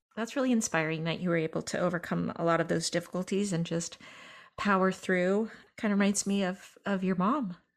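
In an unremarkable speaking voice, a woman with an American accent talks at a fairly quick pace and a medium pitch, with ordinary pitch variation and very even loudness, in a very clean recording with a silent background. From Northern California. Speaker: podcast producer and interviewer. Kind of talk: casual interview conversation.

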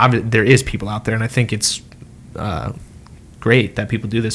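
This man has a fairly low pitch, an ordinary speaking voice and fairly even intonation. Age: 20s. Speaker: podcast co-host. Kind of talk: casual chat.

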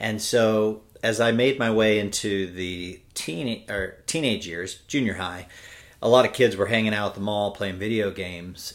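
Ordinary pitch variation at a moderate pace, in a Californian accent. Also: man. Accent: Californian American. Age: 40s. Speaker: cyclist. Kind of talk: casual chat. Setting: at home.

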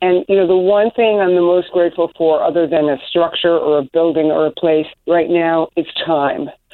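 This woman talks at a moderate pace with hardly any pauses and very even loudness. Her pitch sits fairly low. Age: 60s. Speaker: garden business owner and landscape designer. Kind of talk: interview. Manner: warm, enthusiastic.

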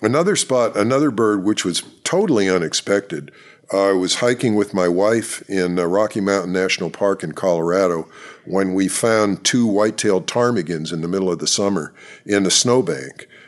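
A man with an American accent speaks at a moderate pace in a fairly low voice against a quiet background. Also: ordinary pitch variation. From central Pennsylvania. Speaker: expert birder. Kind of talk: interview. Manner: halting.

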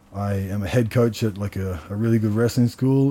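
Dark and mellow in tone, a man with an Australian accent speaks in a fairly low voice at a moderate pace with fairly even intonation. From Australia, Canberra. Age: 30s. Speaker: martial artist and wrestling coach. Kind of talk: casual chat. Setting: sauna at a martial arts gym.

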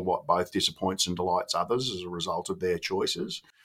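A man's bright, sharp voice with an Australian accent at a fairly quick pace, on a very clean recording with a silent background. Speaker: former school principal and education consultant. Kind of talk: interview. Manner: informal.

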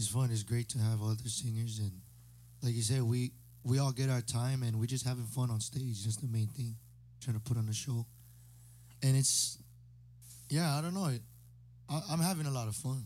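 Pausing long and often, a man speaks at medium pitch in a somewhat breathy voice with a dark, mellow tone. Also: ordinary pitch variation, moderate pace. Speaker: singer. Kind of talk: casual chat. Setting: studio.

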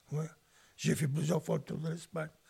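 A man speaks with vocal fry and a fairly high pitch. His tone is dark and mellow. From Spain (Barcelona area), then central France. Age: 80s+. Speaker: retired Spanish teacher and former refugee. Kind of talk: personal life testimony. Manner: halting, with many hesitations.

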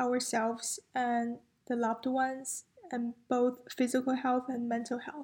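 A woman's high-pitched voice in a Chinese accent, with monotone, flat intonation. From China. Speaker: university student. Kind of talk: casual chat.

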